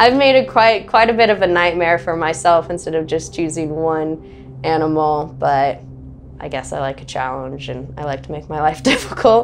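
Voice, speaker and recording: Over music in the background, a woman speaks at a moderate pace with big swings in loudness. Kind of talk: interview answer. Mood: cheerful, laughing often. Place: home room. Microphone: lapel.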